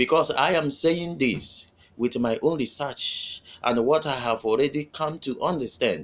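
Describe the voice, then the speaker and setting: A man with a Nigerian accent and a fairly high pitch for a man. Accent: Nigerian Igbo English. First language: Igbo. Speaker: activist video commentator. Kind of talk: political address to followers.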